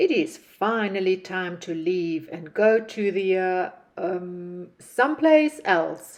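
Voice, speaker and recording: A loud, booming, female-sounding put-on character voice speaks at a middle pitch and a very slow pace. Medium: read story.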